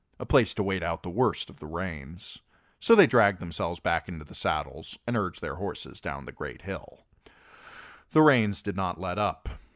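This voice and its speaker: A man with a very deep, low pitch and vocal fry talks at a moderate pace with big swings in loudness, recorded very cleanly against a silent background. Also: lively intonation. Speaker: amateur audiobook reader. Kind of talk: audiobook reading.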